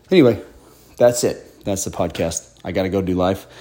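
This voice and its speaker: A man's very fast delivery in a dark, mellow tone. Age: 40s. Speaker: podcast host. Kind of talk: casual solo monologue. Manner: casual with many fillers.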